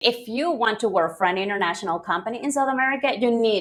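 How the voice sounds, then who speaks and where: A woman with a Spanish accent and a fairly high pitch speaks at a fairly quick pace. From Venezuela. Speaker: English teacher. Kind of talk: interview. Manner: hesitant, many fillers.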